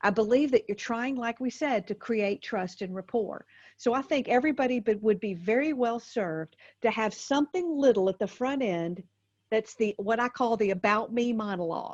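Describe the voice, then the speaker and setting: A woman with a Southern US accent speaks at a fairly high pitch with ordinary pitch variation. The sound is dry and close with no echo, over a quiet background. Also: moderate pace. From US South. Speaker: motivational speaker and comedian. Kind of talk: podcast interview. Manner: animated.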